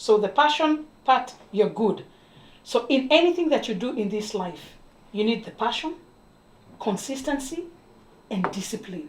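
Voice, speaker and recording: With an East African accent, a woman speaks fairly slowly in a fairly high voice, making very wide pitch swings and long, frequent pauses. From Kenya. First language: Swahili. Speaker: TV talk show host. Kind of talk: interview.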